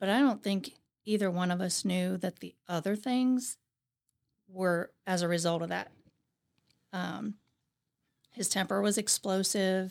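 Here a woman speaks with an American accent at medium pitch. Her intonation is fairly even and her pace moderate. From Ohio, US Midwest. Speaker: firefighter's wife, retired public servant. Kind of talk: interview.

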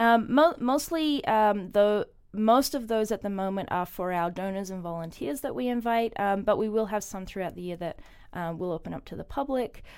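In a very clean recording with a silent background, a woman speaks at a moderate pace in a normal speaking voice with lively intonation. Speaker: ballet marketing manager. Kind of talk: casual interview.

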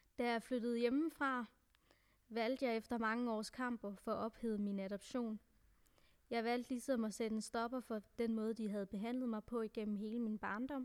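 Fairly high-pitched female voice with monotone, flat intonation. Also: moderate pace. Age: 20s. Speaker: adoptee sharing personal story. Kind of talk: personal testimony.

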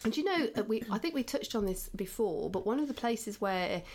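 This woman talks fairly quickly. Her intonation sounds lively. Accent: English. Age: 50s. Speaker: podcast host. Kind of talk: casual chat; reading aloud.

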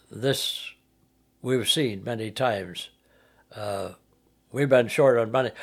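Very slowly, a man talks at a medium pitch with ordinary pitch variation. Long, frequent pauses break up his speech. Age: 80s+. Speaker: retired pastor and missionary. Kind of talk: interview. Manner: halting.

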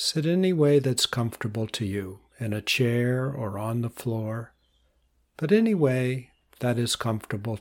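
Calm and soothing, a man speaks at a fairly slow pace in a medium pitch with ordinary pitch variation. The recording is very clean and the background silent. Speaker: meditation teacher and podcast host. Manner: slow, calm and soothing, with unhurried pauses between short instructions; warm, reassuring and conversational, repeating cues like breathe normally.

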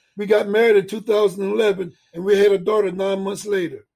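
This man has a high pitch, a dark, mellow tone and an American accent, and he talks at a fairly quick pace. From Delaware, US. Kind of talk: scripted narration.

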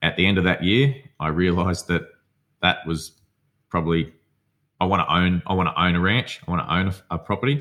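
A man with a strong Australian accent and a very deep, low pitch speaks at a fairly quick pace with long, frequent pauses, ordinary pitch variation and very even loudness. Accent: broad Australian. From outback Australia. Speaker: psychotherapy student and former fighter. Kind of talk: casual interview conversation.

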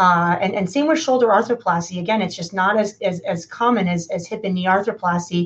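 A woman talks fairly quickly in a normal speaking voice. Her pitch varies in an ordinary way. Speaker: orthopedic surgeon. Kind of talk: interview answering clinical questions.

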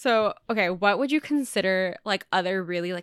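In a very clean recording with a silent background and a dry, close sound with no echo, a woman speaks with a Californian accent at medium pitch and lively intonation. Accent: Californian American. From Southern California suburbs. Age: 20s. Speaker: podcast host. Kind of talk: casual interview chat.

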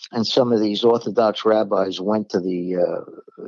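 A man speaks in a Brooklyn accent at a fairly low pitch with fairly even intonation. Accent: New York (Brooklyn). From New York, Brooklyn. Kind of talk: religious discussion podcast. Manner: blunt, direct.

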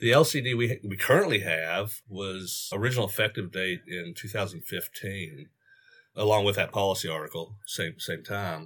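In a very clean recording with a silent background, a man with a plain, everyday voice speaks at a moderate pace, fairly low in pitch with ordinary pitch variation. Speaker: certified prosthetist and clinical educator. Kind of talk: podcast interview.

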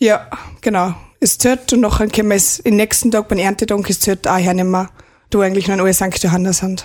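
A woman at a medium pitch talks very fast, her loudness very even and her intonation fairly even. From Austria, Pongau (St. Johann, Salzburg). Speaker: rural youth club member. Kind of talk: radio interview.

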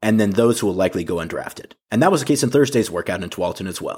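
Speaking very fast with an American accent, a man at a medium pitch comes through on a very clean recording with a silent background. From US Pacific Northwest (Portland, Oregon). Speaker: sports podcast host. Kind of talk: podcast narration and interview.

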